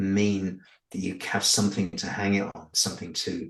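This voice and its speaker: Speaking at a fairly slow pace, a man talks with a northern English accent. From northern England. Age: 60s. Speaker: UFO abductee. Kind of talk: interview. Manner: halting, with repetitions.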